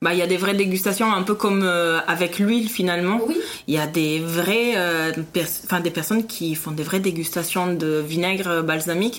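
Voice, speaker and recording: Audible room echo around a woman with an Italian accent, fairly low in pitch, with fairly even intonation. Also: moderate pace. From Italy, Parma. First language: Italian (speaking French). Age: 30s. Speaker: food podcast guest, expatriate. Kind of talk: casual interview.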